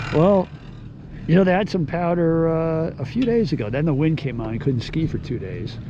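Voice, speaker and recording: Noticeable noise sits behind the voice, the room gives back an audible echo, and the delivery keeps a moderate tempo. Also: man, fairly high pitch for a man, lively intonation. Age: 60s. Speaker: skier. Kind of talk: casual chat.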